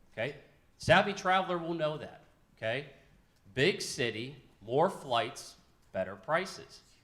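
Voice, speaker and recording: A loud man with a fairly high pitch and vocal fry talks in an animated tone with lively intonation, broken by long, frequent pauses. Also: fairly slow pace. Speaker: local government official on a panel. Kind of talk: panel discussion. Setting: luncheon event with audience.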